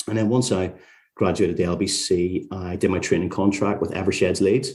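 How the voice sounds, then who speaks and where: A man talks with a very deep, low pitch and a dark, mellow tone at a moderate pace. His pitch varies in an ordinary way, and the recording is very clean with a silent background. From Northern Ireland, Carrickfergus near Belfast. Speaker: tax lawyer, firm founder. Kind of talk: interview.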